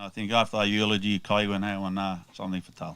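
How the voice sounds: A man's fast, fairly low voice with little pitch movement and a fairly bright, clear, smooth tone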